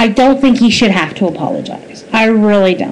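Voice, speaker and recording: Lively intonation marks a woman speaking at a moderate pace over noticeable background noise. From Nova Scotia, Canada. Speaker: vlogger. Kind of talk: opinion commentary monologue. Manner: animated.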